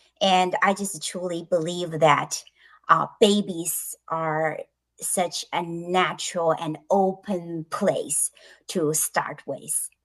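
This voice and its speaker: A woman's fairly low, monotone voice with a Chinese accent, flat in intonation and very slow in pace, against a quiet background. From China. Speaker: author and bilingual education specialist. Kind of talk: interview. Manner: halting, many fillers.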